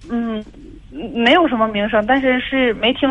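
A woman's fairly high voice with ordinary pitch variation at a moderate pace, with noticeable background noise. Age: 20s. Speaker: caller. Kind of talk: phone-in account. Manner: halting.

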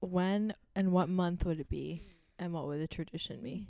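A soft-spoken woman's voice at medium pitch, with ordinary pitch variation, a fairly slow pace and a dark, mellow tone. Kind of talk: casual chat. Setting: studio.

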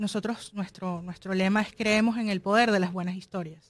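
Fairly even intonation and a Venezuelan accent on a very clean recording with a silent background. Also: woman. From Venezuela, Caracas. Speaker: film producer and digital marketing specialist. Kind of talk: interview.

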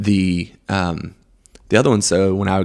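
The delivery is monotone and flat, captured on a very clean recording with a silent background. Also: man. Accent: American. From Greenville, South Carolina. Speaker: coffee shop owner. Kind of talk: casual chat.

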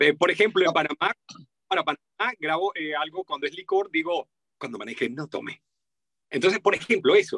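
A man with a Venezuelan accent, high-pitched and bright, sharp in tone, at a fairly quick pace with lively intonation and long, frequent pauses, in a dry, close sound with no echo. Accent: Venezuelan, sing-song. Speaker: voice-over artist. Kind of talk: interview.

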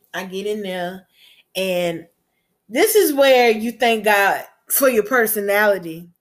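In a Southern US accent, a woman speaks at medium pitch and a fairly slow pace, with a warm, upbeat tone and ordinary pitch variation. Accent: Southern US, noticeable. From US Gulf Coast. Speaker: podcast host and chef. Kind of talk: solo podcast monologue, motivational. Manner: warm, upbeat, encouraging.

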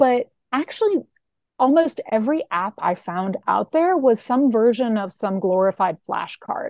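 Speaking at a fairly slow pace, a woman with a high voice makes very wide pitch swings, captured in a dry, close sound with no echo. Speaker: app founder. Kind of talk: casual interview.

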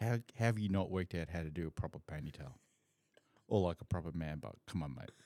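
Speaking very fast, a man uses a very deep, low voice with a dark, mellow tone and ordinary pitch variation. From Southeast Asia, then Perth from age 14. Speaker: podcast host and photographer. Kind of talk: casual chat. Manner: animated.

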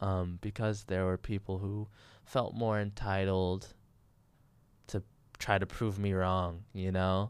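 A man with an American accent talks at a very slow pace, with long, frequent pauses and very even loudness. His pitch is very deep and low, and his intonation monotone and flat. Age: 20s. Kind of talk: casual solo monologue. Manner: hesitant, filler-heavy.

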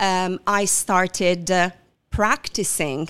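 With an Italian accent, a woman with a fairly low pitch talks at a very slow pace and with fairly even intonation on a very clean recording with a silent background. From southern Italy. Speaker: coach. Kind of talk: interview. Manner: halting, frequent fillers.

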